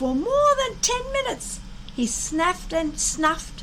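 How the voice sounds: Slowly, a woman speaks in an extremely high voice that swings widely in pitch.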